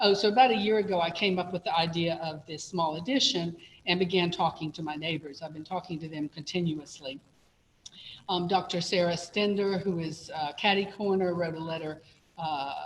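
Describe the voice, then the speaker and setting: A woman talks at a fairly quick pace in a fairly low pitch. Her voice is somewhat breathy, with fairly even intonation. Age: 70s. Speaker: applicant at zoning hearing, retired professor. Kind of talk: public hearing testimony. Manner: halting, with fillers.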